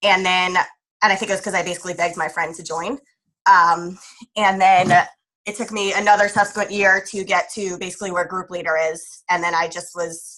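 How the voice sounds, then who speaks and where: A woman with an American accent speaks at a fairly quick pace in a bright, sharp tone at medium pitch. Her intonation is monotone and flat, with big swings in loudness. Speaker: direct sales team leader. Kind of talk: online training webinar. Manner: fast.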